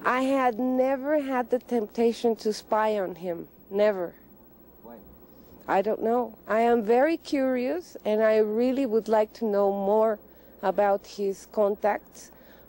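A woman's dark, mellow voice moves at a fairly slow pace with ordinary pitch variation. The sound is dry, with no echo. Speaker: interviewee. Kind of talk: interview answer. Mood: calm, reflective. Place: open country.

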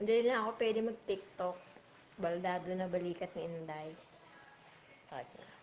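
A woman speaks at a moderate pace with ordinary pitch variation and big swings in loudness. She leaves long, frequent pauses, and light background noise is audible. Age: 40s. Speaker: vlogger. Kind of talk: casual livestream chat. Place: home room. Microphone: phone near.

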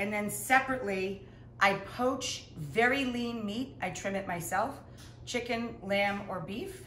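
Against light background noise and audible room echo, a woman speaks at a very slow pace with ordinary pitch variation. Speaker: home cook host. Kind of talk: casual Q&A chat. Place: kitchen. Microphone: camera far.

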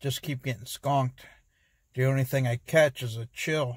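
A man speaks in a somewhat breathy, monotone, flat voice, the sound dry with no echo and the background quiet. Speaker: fishing vlogger. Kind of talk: casual vlog chat. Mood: mildly disappointed, relaxed. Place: car. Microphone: phone near.

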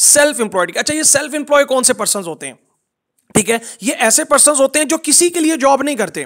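A man's extremely high voice with lively intonation at a moderate pace. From Pakistan, Multan. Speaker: network marketing trainer. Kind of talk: online training session.

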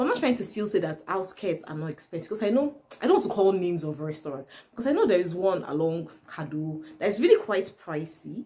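A woman at a very fast pace. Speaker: vlogger. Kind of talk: casual vlog chat. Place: home room.

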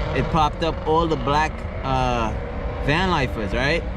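A man speaks with a dry sound and no echo. Noticeable background noise is present. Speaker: van life vlogger. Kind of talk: casual vlog chat. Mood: amused, upbeat. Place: car. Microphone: phone near.

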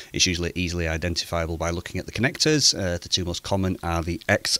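This man's pitch is very deep and low, yet his tone is bright and sharp. The sound is dry, with no echo. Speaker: amateur radio hobbyist. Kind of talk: tutorial. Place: home room. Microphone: studio mic.

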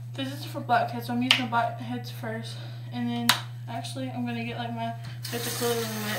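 Loud noise fills the background while a woman talks very fast. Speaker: beauty vlogger. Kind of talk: casual vlog chat, skincare tutorial. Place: bathroom. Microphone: phone near.

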